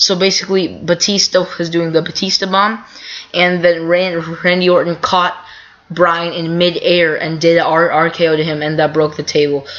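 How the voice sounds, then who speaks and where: A woman talks at a moderate pace. Her intonation is flat and monotone. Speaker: wrestling commentary vlogger. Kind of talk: casual recap monologue. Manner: halting, many fillers.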